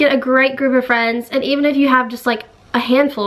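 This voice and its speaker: With an American accent and an upbeat tone, a woman speaks in a high pitch amid noticeable background noise. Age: young. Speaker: YouTuber. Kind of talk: casual talk to camera.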